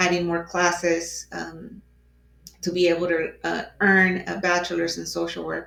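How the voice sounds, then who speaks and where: A woman talks at a fairly slow pace in a Spanish accent. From Mexico (Mexico City). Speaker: advocate for crime victims. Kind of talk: casual conversation. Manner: halting, many fillers.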